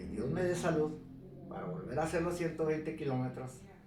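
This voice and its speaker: Lively intonation marks a man's voice, heard with audible room echo and noticeable background noise. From northern Mexico, Ciudad Juárez. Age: 70s. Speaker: retired mountain biker. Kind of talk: life story interview.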